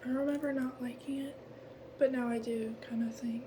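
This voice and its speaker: The whispering moves at a moderate pace. Background noise is clearly present. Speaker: ASMR creator. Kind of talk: casual chat.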